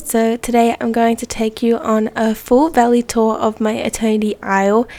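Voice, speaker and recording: A woman's fairly high voice at a moderate pace, over noticeable background noise. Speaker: gaming youtuber. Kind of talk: casual game tour narration. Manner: casual, hesitant with ums.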